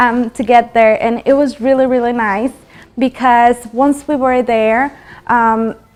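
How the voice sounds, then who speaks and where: Amid noticeable background noise, a woman speaks at a very slow pace in a high voice with fairly even intonation. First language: not English. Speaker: motivational talk show host. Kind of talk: motivational talk. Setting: studio. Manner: halting, with many fillers.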